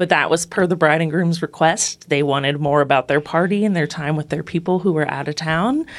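A woman with an American accent speaks in a normal speaking voice at a fairly quick pace. Her pitch is fairly low, with ordinary pitch variation. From northeastern Ohio. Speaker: wedding officiant. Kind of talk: interview.

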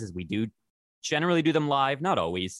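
Talking at a very fast pace with a Canadian accent, a man shows vocal fry and very wide pitch swings in a dry, close sound with no echo. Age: 30s. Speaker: community radio host, blind advocate. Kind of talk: casual interview.

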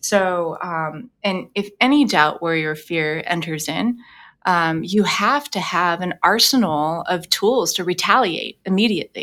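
Speaking with an American accent at a fairly slow pace, a woman uses a fairly low pitch, a bright, sharp tone and lively intonation in a very clean recording with a silent background. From Los Angeles. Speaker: vocal coach and singer. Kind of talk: interview conversation. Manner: frequent filler words.

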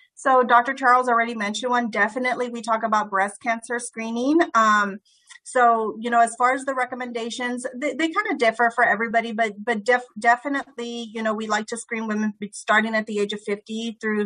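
A woman with an American accent speaks at a fairly quick pace in a bright, sharp tone, with hardly any pauses. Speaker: doctor. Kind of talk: casual chat. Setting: video call.

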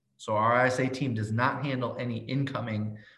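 With audible room echo, a man of medium pitch talks at a moderate pace with fairly even intonation. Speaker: real estate agent and coach. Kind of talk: interview.

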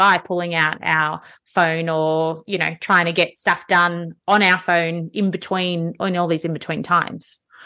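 A woman speaks at a fairly slow pace with hardly any pauses, her pitch fairly low and her tone bright and sharp. The background is quiet. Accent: Australian. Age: 40s. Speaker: podcast host and fitness studio owner. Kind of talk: casual interview.

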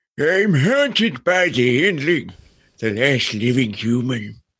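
Using a put-on character voice, a man speaks raspily at a medium pitch and a fairly slow pace, with very wide pitch swings. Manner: grumpy.

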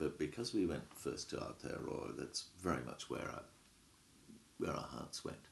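A man with a very deep, low pitch and vocal fry speaks at a moderate pace. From England. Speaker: professor. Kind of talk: academic interview.

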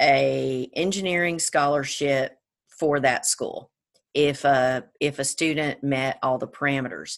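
Against a quiet background, a woman with an American accent speaks at a very slow pace, her very deep, low pitch held in fairly even intonation. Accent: Georgia accent, comes and goes. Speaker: attorney, service academy graduate. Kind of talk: interview.

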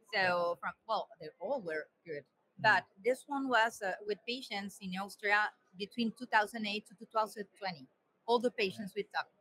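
A woman speaks with a Spanish accent at a moderate pace, her medium pitch moving with ordinary variation. Her tone is bright and sharp, her loudness swings widely, and the sound is dry and close with no echo. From Colombia. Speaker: cardiac surgeon and editor. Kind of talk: casual conference chat. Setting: live webcast from a conference.

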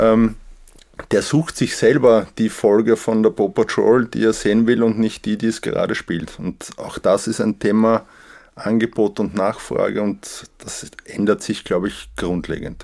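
An unremarkable speaking voice moves at a fairly slow pace with fairly even intonation. The recording is very clean, with a silent background. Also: man, medium pitch for a man. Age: 40s. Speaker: managing director. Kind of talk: interview.

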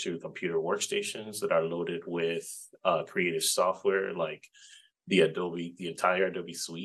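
Speaking in a Spanish accent, a man keeps a moderate pace. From Puerto Rico. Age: 40s. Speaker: game developer and library digital media instructor. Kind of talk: interview.

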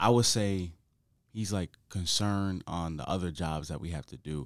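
Recorded very cleanly against a silent background, a man speaks with an American accent. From Connecticut. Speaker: college football player. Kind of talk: casual interview.

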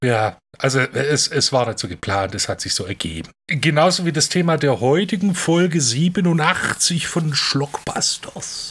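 Fairly high-pitched and lively in intonation, a man speaks at a fairly slow pace with hardly any pauses on a very clean recording with a silent background. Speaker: film podcast co-host. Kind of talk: casual chat.

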